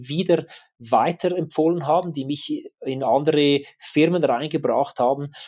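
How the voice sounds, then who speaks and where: A man with a normal speaking voice talks at a moderate pace, his pitch fairly high and his intonation fairly even. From Switzerland. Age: 40s. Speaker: adventure and action photographer. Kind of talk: interview.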